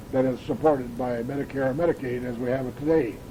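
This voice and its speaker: A man with an Upper Midwest accent at a moderate pace, amid noticeable background noise. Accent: Upper Midwest American. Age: 80s+. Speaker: family elder recording memories. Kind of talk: oral history recording. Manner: halting, frequent uhs.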